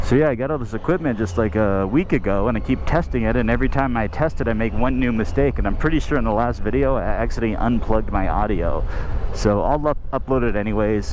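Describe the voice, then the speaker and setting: Over noticeable background noise and audible room echo, a man with a fairly low pitch talks at a very fast pace, with lively intonation and hardly any pauses. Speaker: motorcycle vlogger. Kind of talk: casual vlog narration while riding. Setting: outdoors on a motorcycle.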